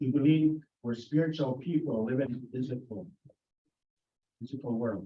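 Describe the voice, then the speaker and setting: A man with a somewhat breathy, dark, mellow tone at medium pitch speaks at a fairly quick pace with ordinary pitch variation. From Canada, Plains Cree community. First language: Plains Cree. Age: 60s. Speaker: community delegate at council meeting. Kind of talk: prepared presentation to council. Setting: town council meeting.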